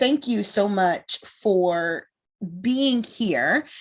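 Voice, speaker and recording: A woman speaks in a Bronx accent at a very slow pace. Her intonation is lively. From New York (Bronx). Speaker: moderator, speaker and trainer. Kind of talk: panel moderation.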